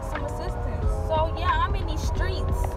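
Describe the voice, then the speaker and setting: A woman talks at a moderate pace over loud background music. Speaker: vlogger driving. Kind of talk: casual vlog chat. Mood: frustrated, candid. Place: car. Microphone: phone near.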